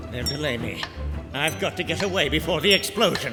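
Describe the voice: A man's put-on character voice, fairly high in pitch, at a fairly quick pace over clear music in the background.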